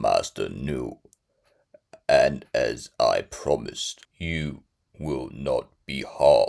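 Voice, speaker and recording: A man's put-on character voice at a very slow pace. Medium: read story. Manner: cold, clipped.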